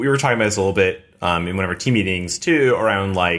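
The speaker has a normal speaking voice with ordinary pitch variation, on a very clean recording with a silent background. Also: man. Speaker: crypto investor. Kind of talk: casual panel discussion.

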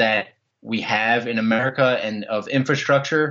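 In a Philadelphia accent, the speaker goes at a fairly slow pace with ordinary pitch variation. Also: man. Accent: Philadelphia-area. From US Northeast (South Jersey). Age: 20s. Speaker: long-distance walker. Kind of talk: interview.

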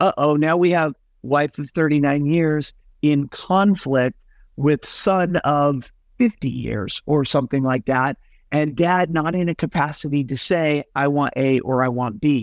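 In a normal speaking voice, a man talks fairly slowly at a fairly high pitch with ordinary pitch variation. The recording is very clean with a silent background, the sound dry and close with no echo. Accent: American. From Utah. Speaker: estate planning lawyer. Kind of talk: interview.

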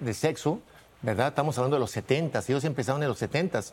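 At a moderate pace, a man speaks in a normal speaking voice with a fairly high pitch. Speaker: conservative family-group spokesman. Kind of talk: heated debate.

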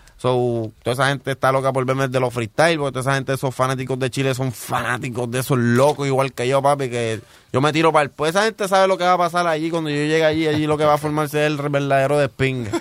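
A man with a fairly high voice and ordinary pitch variation. He talks at a very fast pace with hardly any pauses. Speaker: rapper. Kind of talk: casual interview chat. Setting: studio.

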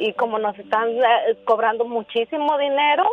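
Her pitch high, a woman talks at a fairly slow pace with fairly even intonation. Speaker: caller. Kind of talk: emotional plea, call. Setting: phone call.

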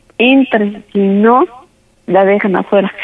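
A woman speaks at a very slow pace. Her voice is fairly high, with fairly even intonation. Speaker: prank call target. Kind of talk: phone conversation. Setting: phone call.

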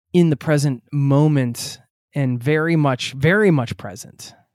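A man speaks at a moderate pace and fairly high pitch, in a plain, everyday voice. The recording is very clean with a silent background, dry and close with no echo. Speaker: travel podcast host. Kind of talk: casual interview chat.

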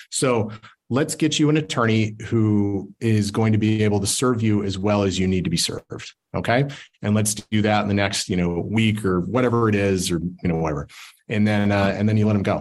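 A man with an American accent speaks at a fairly low pitch and a fairly quick pace, with ordinary pitch variation. He has a plain, everyday voice at very even loudness. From Utah. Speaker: family law attorney. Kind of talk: presentation.

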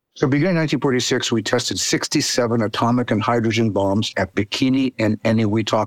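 A man speaks at a medium pitch with ordinary pitch variation and a normal speaking voice. The sound is dry and close, with no echo. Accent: American. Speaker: anthropology professor. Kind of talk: interview explanation.

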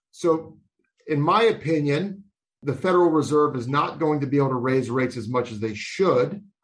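This man has a plain, everyday voice. His pitch is fairly high, with ordinary pitch variation. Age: 40s. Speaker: financial advisor podcast host. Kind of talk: interview.

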